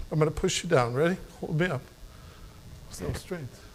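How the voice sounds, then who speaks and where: Fairly high-pitched male speech with ordinary pitch variation. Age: 60s. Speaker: sports medicine chiropractor and presenter. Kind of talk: live demonstration at a seminar. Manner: casual, halting with repetitions.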